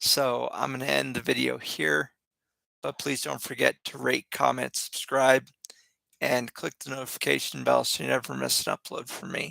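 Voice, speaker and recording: A man's raspy, put-on character voice at a moderate pace, dry and close with no echo. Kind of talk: casual video sign-off.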